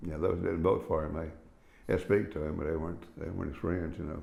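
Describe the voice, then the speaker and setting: Very fast speech comes from a man with an Appalachian accent and a very deep, low pitch. Audible room echo surrounds his voice. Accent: Appalachian Southern US. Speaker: interviewee, relative of former sheriff. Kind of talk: oral history interview.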